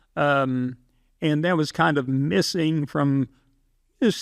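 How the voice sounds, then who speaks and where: This man has an unremarkable speaking voice with fairly high pitch and ordinary pitch variation. The sound is dry and close with no echo, over a quiet background. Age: 60s. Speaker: film competition founder. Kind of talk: casual interview.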